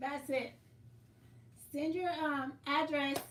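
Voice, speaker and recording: A woman speaks loudly in a high pitch at a fairly slow pace, with audible room echo. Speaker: quilting livestream host. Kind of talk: casual livestream chat.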